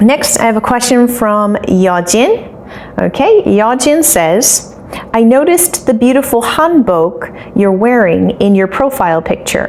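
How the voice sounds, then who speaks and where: A woman's high voice with lively intonation and an American accent, amid noticeable background noise. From United States (Maryland, Colorado, Ohio, Illinois). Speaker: English teacher. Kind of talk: casual Q&A video for students. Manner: animated, enthusiastic.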